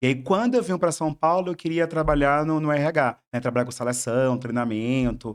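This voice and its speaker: Against a quiet background, a man with a Bahian accent speaks at a fairly high pitch with very even loudness. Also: ordinary pitch variation, moderate pace, hardly any pauses. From southern Bahia, Brazil. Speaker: psychologist. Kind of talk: podcast interview. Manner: halting, many repetitions.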